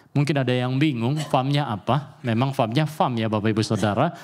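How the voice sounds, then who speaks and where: On a very clean recording with a silent background, a man speaks at a moderate pace in a medium pitch with ordinary variation. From Papua, Indonesia (Sorong). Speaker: pastor. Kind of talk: sermon. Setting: church. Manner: animated.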